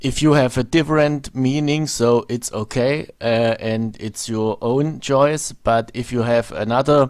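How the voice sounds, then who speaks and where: Over a silent background in a very clean recording, a man with a German accent talks at a fairly slow pace in a medium pitch, with fairly even intonation and hardly any pauses. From Germany. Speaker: video blogger. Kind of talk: monologue commentary video. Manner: halting, many fillers.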